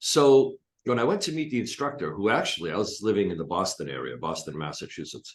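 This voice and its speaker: With vocal fry and very wide pitch swings, a man talks at a fairly quick pace. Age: 60s. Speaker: hypnotist and coach. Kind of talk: interview.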